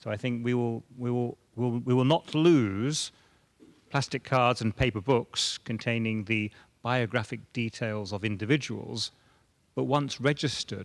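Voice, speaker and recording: Dry and close with no echo, a man with a British accent speaks at medium pitch and a fairly slow pace, his intonation fairly even. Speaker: government border data official. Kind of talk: panel discussion.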